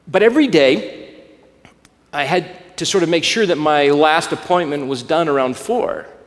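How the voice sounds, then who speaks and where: Amid audible room echo, a man with an American accent talks at a moderate pace in a fairly high pitch with lively intonation. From US South, Alabama. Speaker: pastor. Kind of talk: sermon.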